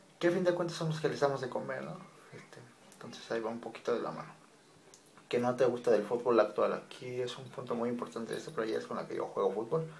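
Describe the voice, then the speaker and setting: A man rushes through his words at a very fast pace, with big swings in loudness. Noticeable background noise sits behind him. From Mexico, Monterrey. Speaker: YouTuber. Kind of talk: casual vlog monologue.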